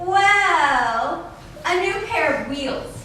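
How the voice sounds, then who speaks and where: A woman puts on a character voice at an extremely high pitch, with a strong echo around her. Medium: comedy sketch.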